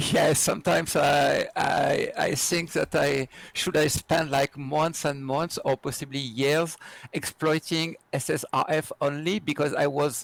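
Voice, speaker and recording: A man with a French accent, his pitch fairly high, intonation fairly even, pace fairly slow. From France. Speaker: security researcher and trainer. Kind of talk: interview. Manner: halting with many fillers.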